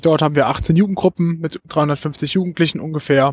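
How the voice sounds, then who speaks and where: A somewhat breathy man talks at a fairly slow pace with ordinary pitch variation. The recording is dry and close, with no echo. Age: 20s. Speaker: trainee special education teacher and youth fire brigade leader. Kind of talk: interview. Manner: hesitant, many filler sounds.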